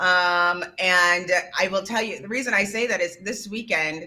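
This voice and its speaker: Loud and bright, sharp in tone, a woman speaks at a medium pitch and a fairly slow pace. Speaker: podcast co-host. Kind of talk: casual chat.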